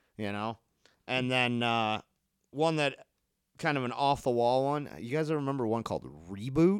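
A man with an American accent speaks at medium pitch and a moderate pace, using ordinary pitch variation. The sound is dry and close with no echo, and his pauses are long and frequent. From Harper Woods, Michigan (Detroit area). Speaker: musician in a band, returning podcast guest. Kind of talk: casual chat.

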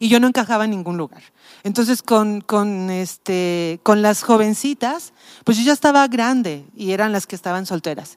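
A woman's plain, everyday voice, fairly high in pitch, with lively intonation at a moderate pace. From Mexico City. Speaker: pastor. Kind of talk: casual chat.

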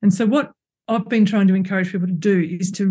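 A woman in an Australian accent, somewhat breathy, dark and mellow in tone, medium pitch and fairly even intonation, over a quiet background. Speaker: ecologist and author. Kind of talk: casual interview. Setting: remote call.

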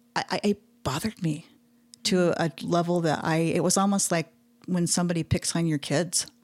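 Speaking with an American accent in an ordinary speaking voice, a woman keeps a fairly low pitch, fairly even intonation, a moderate pace and very even loudness, and the sound is dry and close, with no echo. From Utah. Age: 40s. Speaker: artist, illustrator and muralist. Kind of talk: interview conversation.

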